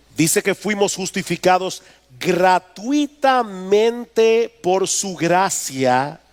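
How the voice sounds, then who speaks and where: A man with a high pitch for a man speaks at a very slow pace with lively intonation, in a dry, close sound with no echo and noticeable background noise. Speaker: pastor. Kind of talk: sermon.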